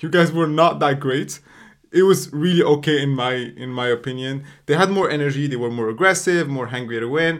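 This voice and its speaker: A man has an unremarkable speaking voice, fairly high in pitch with ordinary variation. He talks at a fairly quick pace. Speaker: podcast host. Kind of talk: casual banter.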